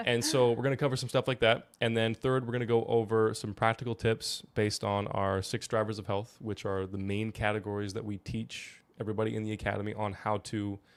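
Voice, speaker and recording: A man at a fairly low pitch and a fairly quick pace, on a very clean recording with a silent background. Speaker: health podcast co-host. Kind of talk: casual podcast chat. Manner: fast; animated.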